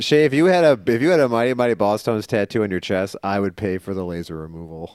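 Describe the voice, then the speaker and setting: A man talks very fast in an American accent. His fairly low voice has lively intonation. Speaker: comic book podcast co-host. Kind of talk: casual comedic chat.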